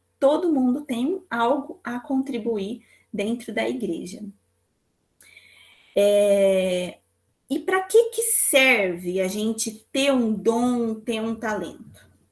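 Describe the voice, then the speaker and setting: Lively intonation runs through a woman's fairly high voice. She talks at a very slow pace, with long, frequent pauses. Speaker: psychologist teaching a church class. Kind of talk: lecture.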